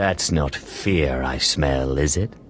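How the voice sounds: A man uses a cartoonish character voice with a very deep, low pitch. Clear music plays in the background.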